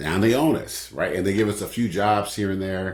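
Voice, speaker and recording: With an American accent and vocal fry, a man talks at a fairly quick pace. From Oakland, California. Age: 60s. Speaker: author and publisher. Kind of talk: interview conversation.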